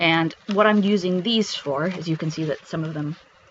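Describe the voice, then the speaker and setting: A man's voice sits high with ordinary pitch variation, and noticeable background noise runs underneath. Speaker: craft YouTuber. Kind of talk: show-and-tell tutorial. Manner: fast; hesitant with many fillers.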